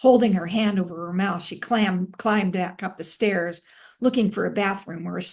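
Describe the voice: This is plain reading aloud, and the pitch shifts by an ordinary amount.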